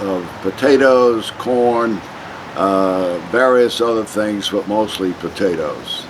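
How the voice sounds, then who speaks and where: Over noticeable background noise, a man with a New York accent talks at a very slow pace with ordinary pitch variation. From US Northeast, Long Island, New York. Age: 80s+. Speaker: interviewee. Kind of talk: oral history interview. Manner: halting.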